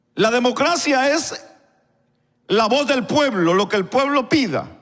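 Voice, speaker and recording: There is audible room echo as a man speaks at a very slow pace with lively intonation. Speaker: pastor. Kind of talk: sermon. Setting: church. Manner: stutter; halting.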